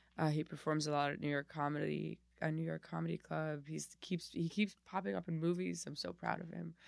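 A woman talks at a fairly quick pace with an American accent. She leaves hardly any pauses. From Miami, Florida. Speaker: comedian. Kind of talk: casual interview chat. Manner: halting, frequent restarts.

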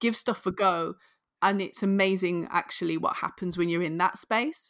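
In a very clean recording with a silent background, a woman with a northern English accent speaks at medium pitch and a moderate pace with fairly even intonation. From northern England. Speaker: author and career coach. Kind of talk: interview.

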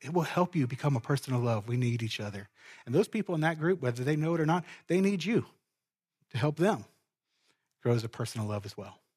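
A somewhat breathy man with an American accent, very fast yet with long, frequent pauses, lively in intonation, in a very clean recording with a silent background and a dry, close sound with no echo. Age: 40s. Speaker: pastor. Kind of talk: sermon. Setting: church.

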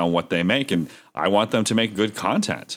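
On a very clean recording with a silent background, a man with an American accent uses an ordinary speaking voice at a fairly low pitch and a moderate pace. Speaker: podcast host. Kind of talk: casual chat.

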